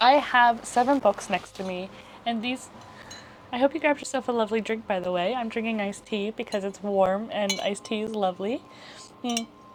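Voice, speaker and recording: A woman with a fairly high pitch mumbles at a fairly quick pace, with ordinary pitch variation, long, frequent pauses and noticeable background noise. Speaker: lifestyle youtuber. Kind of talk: casual chat. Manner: mumbly.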